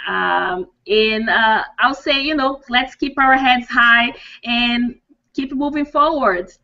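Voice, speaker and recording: Here a woman with a Portuguese accent speaks at a very slow pace. Her pitch is high, with ordinary pitch variation. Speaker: dental hygienist and coach. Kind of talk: interview. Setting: video call. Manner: halting.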